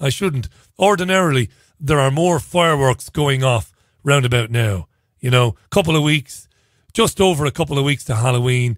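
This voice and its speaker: A man with a plain, everyday voice speaks at a moderate pace in a fairly high pitch with lively intonation, on a very clean recording with a silent background. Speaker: radio presenter. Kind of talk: opinionated monologue commentary on news. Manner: conversational, sarcastic.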